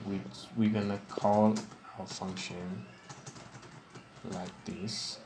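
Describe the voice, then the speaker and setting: A man with a fairly low voice speaks very slowly with fairly even intonation. He takes long, frequent pauses over noticeable background noise. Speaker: programming tutorial maker. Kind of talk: screen-recorded software tutorial. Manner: casual, hesitant with fillers.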